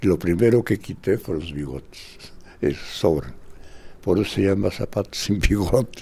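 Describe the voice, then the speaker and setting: A man talks at a fairly slow pace in a fairly low, dark, mellow voice with vocal fry and very wide pitch swings. The recording is very clean, with a silent background. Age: 80s+. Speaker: dancer and choreographer. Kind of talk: interview testimony. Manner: animated.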